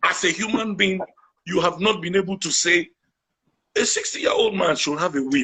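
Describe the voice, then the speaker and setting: A man's raised, projected voice sounds animated, high-pitched and bright, with a sharp tone and ordinary pitch variation. He keeps a moderate pace broken by long, frequent pauses. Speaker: guest, activist. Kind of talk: interview conversation.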